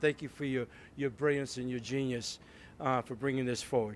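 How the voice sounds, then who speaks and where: Speaking with an American accent, a man uses a medium pitch and fairly even intonation. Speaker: city mayor. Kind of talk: public speech at ceremony. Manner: halting, many fillers and repeats.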